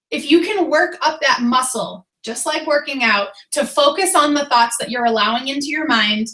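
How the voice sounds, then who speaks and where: With lively intonation, a woman uses a high voice and speaks with an American accent. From Boston, Massachusetts. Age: 30s. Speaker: fitness coach. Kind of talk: motivational team call.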